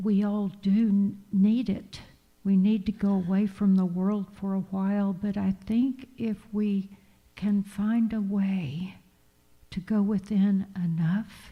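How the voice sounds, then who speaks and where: At a very slow pace, a woman talks in a somewhat breathy, dark, mellow voice of medium pitch with monotone, flat intonation. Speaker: minister giving a sermon. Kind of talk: church sermon / spiritual talk. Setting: church congregation.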